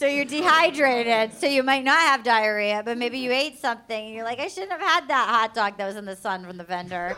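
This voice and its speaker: A woman with a Rhode Island accent talks fairly quickly in a high voice, with hardly any pauses and lively intonation. Her loudness swings widely, and noticeable background noise is present. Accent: New England (Rhode Island). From Rhode Island / Fall River, Massachusetts. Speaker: comedian. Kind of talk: live comedy panel banter. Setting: stage with audience.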